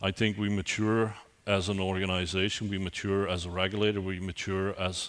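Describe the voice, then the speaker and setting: The voice moves at a fairly quick pace in a Belgian accent, with monotone, flat intonation. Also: man. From Belgium. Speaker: IT security executive, keynote speaker. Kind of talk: conference keynote. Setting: conference stage with audience. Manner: hesitant, with frequent repetitions and fillers.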